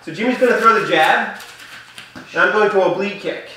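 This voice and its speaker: Projecting his raised voice, a man speaks with ordinary pitch variation. Strong room echo rings around him. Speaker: martial arts coach. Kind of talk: tutorial.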